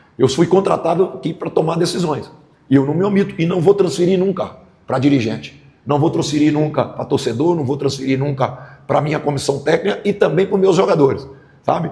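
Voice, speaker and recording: Somewhat breathy and dark, mellow in tone, a man's voice with a fairly high pitch and ordinary pitch variation moves at a fairly quick pace amid audible room echo. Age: 60s. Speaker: football coach. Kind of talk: press conference. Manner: halting, repeats words.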